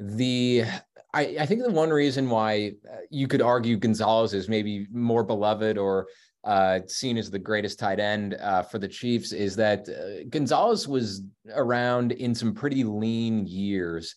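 With a Midwestern US accent, a man speaks at medium pitch and a fairly slow pace. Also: ordinary pitch variation, very clean recording, silent background. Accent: US Midwest. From Kansas City suburbs, Kansas. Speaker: features writer and author. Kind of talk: casual interview chat. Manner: halting, many fillers.

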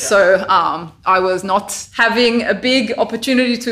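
Her tone is bright and sharp. The woman speaks with an Australian accent. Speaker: volleyball coach. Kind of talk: casual chat. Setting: in person.

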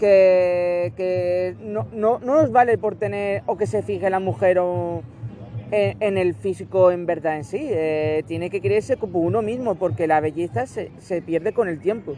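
Against noticeable background noise, a man with a high pitch talks at a fairly slow pace, his pitch swinging very widely. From Barcelona, Spain. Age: 20s. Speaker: interviewee with Asperger syndrome. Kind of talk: interview answers. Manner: halting, repetitive.

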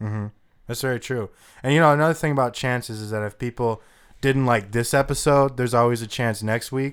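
A man with an ordinary speaking voice at medium pitch, fairly quick pace and fairly even intonation. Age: 20s. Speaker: podcast host. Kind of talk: casual chat.

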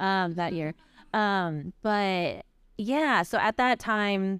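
A woman's medium-pitched voice with an American accent, on a very clean recording with a silent background. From US, Chinese American family. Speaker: podcast co-host, running advocate. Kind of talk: live podcast conversation. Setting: live stage with audience.

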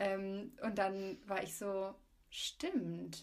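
A woman talks in a somewhat breathy voice. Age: 20s. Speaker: student. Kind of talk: casual chat.

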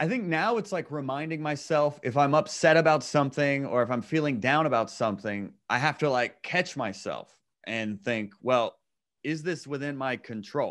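A man with a normal speaking voice talks at a moderate pace, fairly high in pitch and with lively intonation. The background is quiet. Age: 30s. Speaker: comedian. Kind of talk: casual chat.

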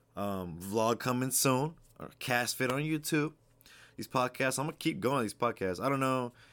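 A normal speaking voice with lively intonation holds a moderate pace, captured in a very clean recording with a silent background. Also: man. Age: 20s. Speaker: podcast host, aspiring fitness coach. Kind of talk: casual monologue. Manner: casual, many fillers and repetitions.

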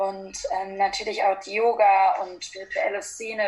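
A woman's unremarkable speaking voice at a medium pitch, fairly slow, with fairly even intonation. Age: 20s. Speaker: yoga teacher. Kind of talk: casual interview.

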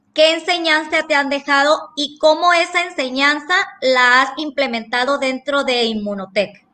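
A woman raises and projects her high-pitched voice with ordinary pitch variation. She speaks at a fairly slow pace. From Sinaloa, Mexico. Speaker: psychologist. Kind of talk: panel question. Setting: video call.

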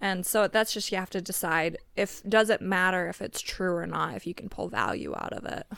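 A woman with an American accent talks at a moderate pace and hardly pauses. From Montana, US. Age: young. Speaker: relative of host raised in polygamous community. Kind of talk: casual chat. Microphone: audio distorted and echoey towards the end.

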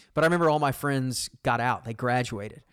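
Over a silent background in a very clean recording, a man with a Texan accent speaks at medium pitch with ordinary pitch variation. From Texas, Arlington. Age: 40s. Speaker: sports radio host. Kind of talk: casual chat.

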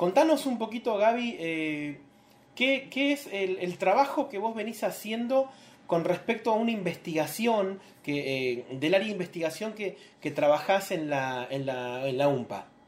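A man with a high pitch talks at a fairly slow pace, his voice making very wide pitch swings. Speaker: interviewer for a publishing house. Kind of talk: live-streamed interview. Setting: live video stream, also on radio. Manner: halting, many fillers.

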